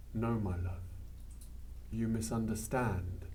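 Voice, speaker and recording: At a very slow pace, a man with fairly low pitch and a dark, mellow tone speaks with vocal fry and very wide pitch swings. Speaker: storyteller. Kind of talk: traditional oral storytelling.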